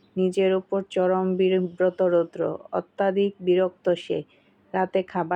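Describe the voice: A text is read out plainly. The reading is plain reading aloud.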